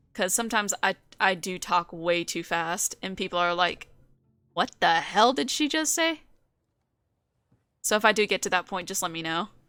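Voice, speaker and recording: Bright and sharp in tone, the voice carries an American accent with ordinary pitch variation, a moderate pace and long, frequent pauses, on a very clean recording with a silent background. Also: woman, medium pitch for a woman. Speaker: vtuber streamer. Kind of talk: live gameplay stream chat.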